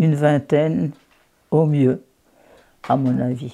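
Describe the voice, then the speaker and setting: A woman's very deep, low voice with vocal fry and a dark, mellow tone, at a very slow pace with ordinary pitch variation. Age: 80s+. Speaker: local historian. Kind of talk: interview answer.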